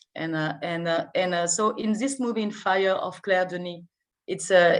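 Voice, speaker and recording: A woman speaks in a French accent at a medium pitch. Her pace is fairly slow. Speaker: film festival artistic director. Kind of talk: interview. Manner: halting, many hesitations and repetitions; enthusiastic.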